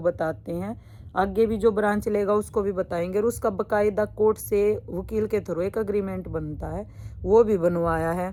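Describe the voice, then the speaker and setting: A woman's medium-pitched voice with fairly even intonation. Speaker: vlogger and suit business owner. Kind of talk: personal vlog monologue. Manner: blunt, outspoken.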